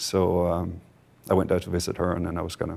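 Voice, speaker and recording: A man with a Danish accent speaks at a fairly quick pace. His pitch is very deep and low. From Denmark. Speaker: company board member, entrepreneur. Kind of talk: conference interview. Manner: hesitant, many filler words.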